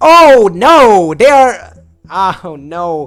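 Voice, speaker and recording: A man with a non-native accent and a high voice, his pitch swinging very widely, with music playing behind him. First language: not English. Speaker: gaming YouTuber. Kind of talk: gameplay commentary. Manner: animated.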